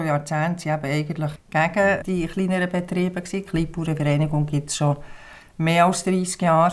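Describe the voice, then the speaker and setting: On a very clean recording with a silent background, a woman with fairly low pitch talks at a moderate pace with fairly even intonation. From Switzerland, Bern and Biel. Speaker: farmer and small-farmers association representative. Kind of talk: interview. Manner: hesitant, frequent fillers.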